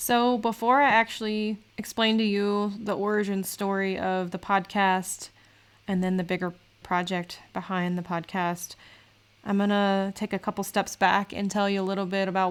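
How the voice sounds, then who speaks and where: The recording is very clean, with a silent background. The voice moves at a moderate pace in a flat monotone. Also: woman. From US South, Southern Virginia (South Hill). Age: 30s. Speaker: podcast host. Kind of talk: solo podcast monologue. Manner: casual, conversational.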